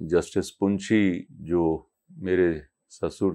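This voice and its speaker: Over a quiet background, a man speaks with monotone, flat intonation at a very deep, low pitch. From Punjab, India. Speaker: devotee sharing experiences; interviewee. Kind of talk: interview testimony. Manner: halting. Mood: reflective, devotional. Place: home room. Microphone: lapel.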